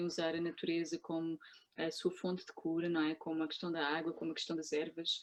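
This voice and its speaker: A woman with a European Portuguese accent and fairly low pitch speaks at a fairly quick pace. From Portugal. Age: 30s. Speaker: cannabis specialist, Chinese medicine practitioner. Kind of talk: interview. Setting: video call.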